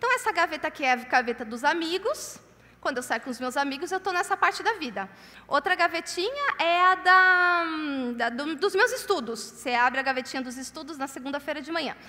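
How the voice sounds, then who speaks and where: Her voice raised and projected, a woman talks at a fairly quick pace with an extremely high pitch and very wide pitch swings. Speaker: conference speaker. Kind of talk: sermon. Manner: loud.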